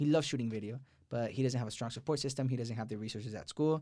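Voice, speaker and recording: An animated man with an American accent, medium pitch, lively intonation and a very fast pace, in a very clean recording with a silent background. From Texas, Houston. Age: 20s. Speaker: journalism student. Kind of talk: interview.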